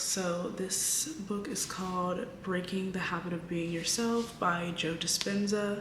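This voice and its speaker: A woman is whispering. Audible room echo and noticeable background noise surround her voice. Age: 20s. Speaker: vlogger. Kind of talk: casual chat. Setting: at home late at night. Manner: casual.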